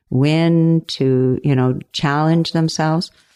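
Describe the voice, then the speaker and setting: Speaking in a Canadian accent, a woman with a very deep, low voice is captured in a very clean recording with a silent background and a dry, close sound free of echo. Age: 60s. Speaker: retired recreation therapy educator. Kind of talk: interview conversation. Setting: podcast interview.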